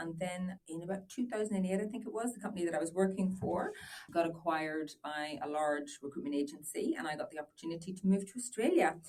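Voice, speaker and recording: Someone with an Irish accent talks at a very fast pace with ordinary pitch variation over noticeable background noise. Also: woman, fairly low pitch for a woman. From Northern Ireland. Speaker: business owner. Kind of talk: podcast interview. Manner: hesitant, many fillers.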